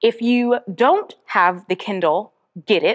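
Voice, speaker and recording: A woman speaks at a fairly slow pace in a fairly high pitch. Her tone is animated. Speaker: podcast host and author. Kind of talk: casual podcast monologue.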